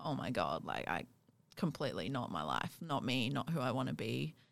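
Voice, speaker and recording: Vocal fry runs through speech at a fairly quick pace on a very clean recording with a silent background. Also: woman. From South Africa (Johannesburg). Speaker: podcast host. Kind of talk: casual interview chat.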